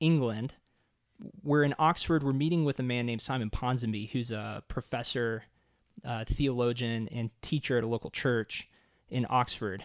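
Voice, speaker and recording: A man speaks with a normal speaking voice, a medium pitch and ordinary pitch variation. The sound is dry and close with no echo, on a very clean recording with a silent background. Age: 30s. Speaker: author and church planter. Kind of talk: casual interview chat.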